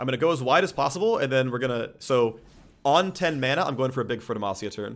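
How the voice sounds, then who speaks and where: A man talks at a very fast pace with lively intonation. Music plays in the background. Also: medium pitch for a man. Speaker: game streamer. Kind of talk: live gameplay commentary. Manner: loud. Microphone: too close to the microphone.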